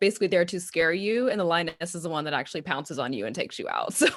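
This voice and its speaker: This woman has a Texan accent and a fairly low pitch. The recording is very clean, with a silent background. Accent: Texan Southern. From Texas. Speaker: counselor and social media marketer. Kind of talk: podcast interview.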